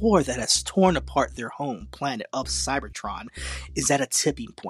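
With vocal fry, a man's voice moves through very wide pitch swings. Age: 30s. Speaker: podcast host. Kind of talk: solo review podcast. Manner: casual, animated.

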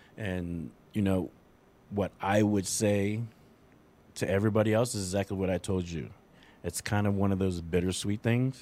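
In a very clean recording with a silent background, a man with a dark, mellow tone and fairly low pitch speaks at a moderate pace, with fairly even intonation and long, frequent pauses. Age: 40s. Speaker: parenting podcast host, father. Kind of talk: casual chat.

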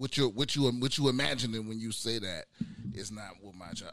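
In a normal speaking voice, a man talks at a fairly quick pace with medium pitch. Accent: American. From US Mid-Atlantic (DC, Maryland, Virginia). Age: 30s. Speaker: stand-up comedian, military veteran. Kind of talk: casual chat.

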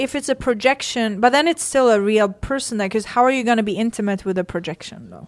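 A woman's speech moves along fairly quickly. Behind her, music is playing. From Sweden. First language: Swedish. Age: 30s. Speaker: bikini fitness champion. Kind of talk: casual chat.

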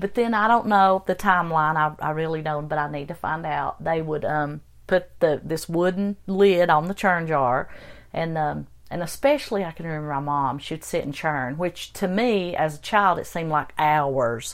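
A woman with an Appalachian accent, fairly low pitch, ordinary pitch variation, and a moderate pace, on a very clean recording with a silent background. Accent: Appalachian mountain. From Western North Carolina. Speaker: guest, host's mother. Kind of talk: casual interview, storytelling.

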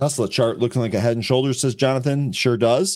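A man speaks at a very fast pace in a dark, mellow tone. The recording is very clean, with a silent background. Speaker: live trading show host. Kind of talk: live trading show hosting. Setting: live stream. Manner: energetic, upbeat.

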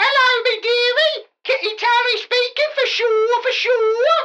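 A female-sounding put-on character voice, extremely high-pitched and squeaky, moves at a fairly slow pace. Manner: cheery, disguised.

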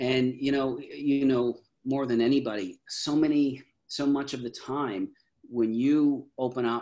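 A man speaks with a Canadian accent at a medium pitch. His voice is an unremarkable speaking voice, with fairly even intonation. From Canada. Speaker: mental health speaker. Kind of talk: interview.

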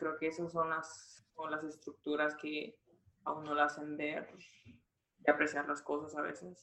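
A woman's very deep, low voice with a bright, sharp tone, fairly even intonation, big swings in loudness, and a fairly slow pace. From Guatemala (Jutiapa). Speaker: student. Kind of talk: interview.

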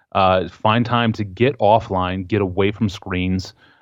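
This is an ordinary speaking voice from a man. His pitch sits fairly low, and his intonation stays fairly even. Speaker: author and journalist. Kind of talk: casual interview conversation.

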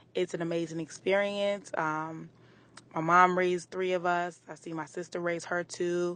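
Against a quiet background, a woman with a plain, everyday voice talks at a fairly low pitch. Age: 30s. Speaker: listener. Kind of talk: voice message. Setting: recorded voice note.

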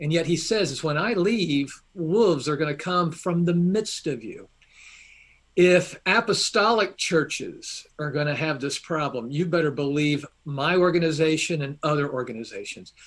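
With a Southern US accent, the voice moves along at a moderate pace. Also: man. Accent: faint Southern US. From Atlanta, Georgia, US South. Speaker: seminary professor and online theology teacher. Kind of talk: casual interview chat. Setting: video call or remote interview.

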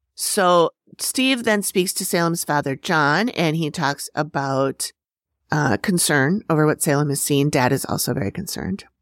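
In an American accent, a woman with a very deep, low voice speaks with lively intonation in a dry, close recording with no echo and a silent background. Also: moderate pace. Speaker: podcast host. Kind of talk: casual chat, episode recap.

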